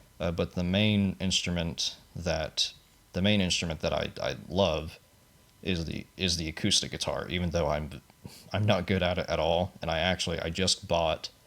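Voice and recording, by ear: A man with a low pitch and vocal fry speaks at a moderate pace with fairly even intonation. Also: fairly bright tone.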